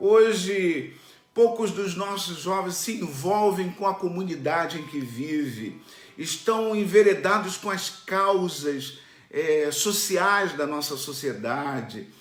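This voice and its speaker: With noticeable background noise and audible room echo, a man talks very slowly in a high voice with lively intonation. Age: 60s. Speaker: pastor. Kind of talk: sermon. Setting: online church stream.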